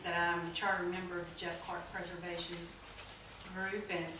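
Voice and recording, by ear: A woman's fairly low voice with an American accent and little pitch movement, at a moderate pace amid audible room echo.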